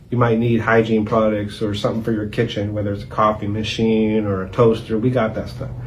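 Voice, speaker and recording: With an American accent, a man speaks at a fairly quick pace with hardly any pauses, a fairly low pitch and monotone, flat intonation, amid audible room echo. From Youngstown, Ohio (South Side). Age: 40s. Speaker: nonprofit founder and executive director. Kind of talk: interview.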